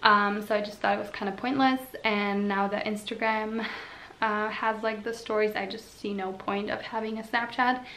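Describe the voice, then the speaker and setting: In a room with audible echo and noticeable background noise, a woman with a Slovene accent speaks at a moderate pace in a fairly high pitch, her intonation monotone and flat. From Slovenia. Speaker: vlogger. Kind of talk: casual chat.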